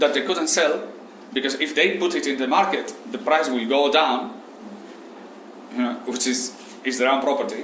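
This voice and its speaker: Noticeable background noise and audible room echo surround a man with a Spanish accent. He talks at a moderate pace with lively intonation and a fairly high pitch. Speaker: Islamic economics teacher. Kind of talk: lecture. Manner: halting.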